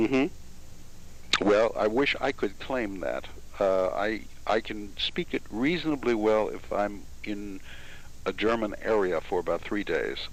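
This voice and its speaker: Speaking fairly slowly, a man talks in an American accent. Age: 60s. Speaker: interviewer. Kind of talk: interview.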